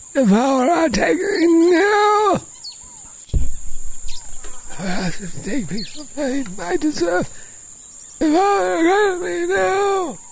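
In a put-on character voice with a high pitch, the speaker goes at a very slow pace with long, frequent pauses and very wide pitch swings over clear background noise.

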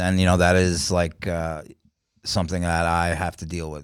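A man speaks at a moderate pace in a very deep, low voice with a New York accent. His intonation is monotone and flat. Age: 40s. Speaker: comedian. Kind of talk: casual chat.

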